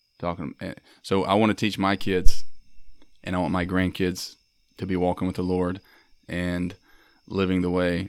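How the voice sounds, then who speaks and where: A man speaks with a Mississippi accent in a very deep, low pitch. His pace is moderate, and the recording is very clean with a silent background. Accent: Mississippi Southern. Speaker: Marine veteran and artist. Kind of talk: casual chat. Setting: in-person recording in Starkville.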